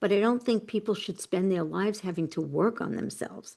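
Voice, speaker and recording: With a New York accent and vocal fry, a woman talks with lively intonation against a quiet background. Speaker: personal transformation coach and author. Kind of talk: interview. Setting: podcast interview.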